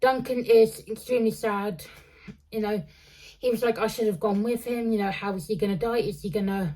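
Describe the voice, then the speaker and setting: A dark, mellow tone with ordinary pitch variation. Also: woman, fairly high pitch for a woman. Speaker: book reviewer. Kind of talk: casual book review monologue. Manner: halting, many fillers and restarts; slowed down on purpose.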